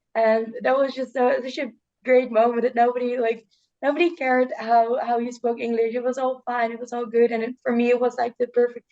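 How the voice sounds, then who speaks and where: A woman talks with a Dutch accent in a high pitch. Her intonation is monotone and flat, with a dark, mellow tone. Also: fairly quick pace. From Netherlands. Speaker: student, youth journalism alum. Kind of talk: casual talk on a video call. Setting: video call. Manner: halting, many repetitions and fillers.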